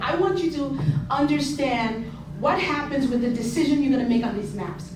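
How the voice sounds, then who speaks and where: Moderate-paced speech from a woman, plus audible room echo and noticeable background noise. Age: 60s. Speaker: community resident speaking at public hearing. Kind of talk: public comment testimony. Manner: impassioned.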